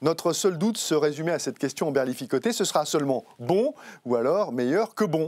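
A man speaks with an ordinary speaking voice at a fairly quick pace. His intonation is lively, and the background is quiet. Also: fairly high pitch for a man. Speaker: TV host. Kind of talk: interview chat. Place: studio. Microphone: lapel.

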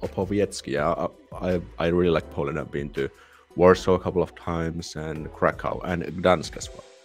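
Faint music plays behind a man whose very deep, low voice moves at a moderate pace with fairly even intonation. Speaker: livestream host. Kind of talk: casual livestream chat. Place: home room. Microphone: studio mic.

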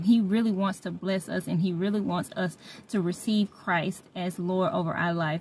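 With ordinary pitch variation and a somewhat breathy voice, a woman speaks at a moderate pace in a dry sound with no echo. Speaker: faith vlogger. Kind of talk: casual religious vlog chat. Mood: warm, joyful. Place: car. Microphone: phone near.

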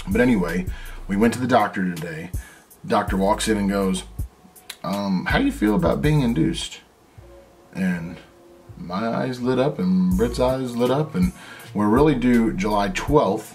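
Faint music plays in the background as a man talks with long, frequent pauses. His voice sits fairly low. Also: moderate pace. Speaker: family vlogger. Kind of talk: casual vlog chat. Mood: excited, telling news. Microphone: phone near.

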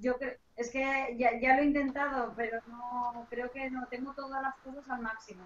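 A woman talks at a fairly slow pace in a high pitch. Her intonation stays monotone and flat. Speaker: lawyer. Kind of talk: panel discussion. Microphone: too quiet, sounds far away.

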